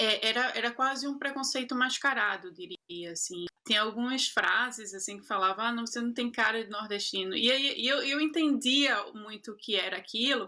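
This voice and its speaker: A woman talks in a fairly high voice with ordinary pitch variation. She leaves hardly any pauses. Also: moderate pace. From Brazil, Recife (Pernambuco). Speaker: actress and producer. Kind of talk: interview. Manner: halting, many repetitions.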